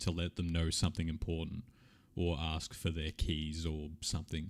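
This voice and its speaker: His voice is very deep and low in pitch. The man talks in an Australian accent. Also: very clean recording, silent background. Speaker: streamer answering viewer questions. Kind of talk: live stream Q&A, casual chat. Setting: live stream. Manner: casual, animated.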